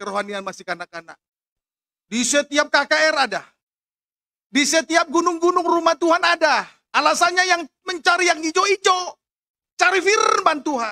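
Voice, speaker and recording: Pitched extremely high, a man uses a raised, projected voice with a bright, sharp tone at a moderate pace, leaving long, frequent pauses. The sound is dry with no echo, against a quiet background. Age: 40s. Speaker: pastor. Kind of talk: sermon. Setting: church with congregation, also live-streamed. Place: church. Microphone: podium.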